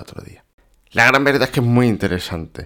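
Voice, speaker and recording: A man's bright, sharp tone with ordinary pitch variation, on a very clean recording with a silent background. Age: 30s. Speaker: podcast host, web developer. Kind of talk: casual chat; scripted narration.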